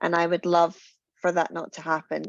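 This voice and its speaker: A woman with a Glasgow accent at a fairly quick pace. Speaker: confidence coach and founder. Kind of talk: webinar panel conversation. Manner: intense, gut voice.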